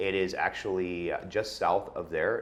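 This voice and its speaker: A man speaks at a moderate pace. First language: Russian. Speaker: wine educator. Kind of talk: casual wine tasting chat. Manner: many filler words (uh, um).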